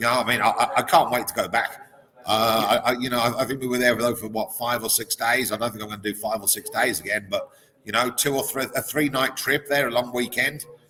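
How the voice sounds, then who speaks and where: A man with an English accent at a very fast pace, medium in pitch, with fairly even intonation and noticeable background noise. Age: 40s. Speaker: sports betting professional. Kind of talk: casual chat. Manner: halting, many repeated words.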